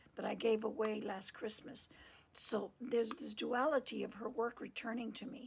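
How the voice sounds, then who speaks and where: Whispering at a moderate pace, a soft-spoken woman speaks with vocal fry. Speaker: podcast host and tarot reader. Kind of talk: casual storytelling monologue. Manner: whispering, soft.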